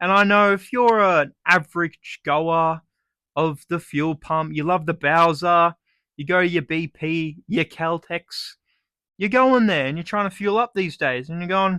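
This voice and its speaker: On a very clean recording with a silent background, dry and close with no echo, a man with an Australian accent speaks at a fairly slow pace, high in pitch and bright and sharp in tone, with ordinary pitch variation. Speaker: comedic vlogger. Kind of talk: comedic monologue. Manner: animated.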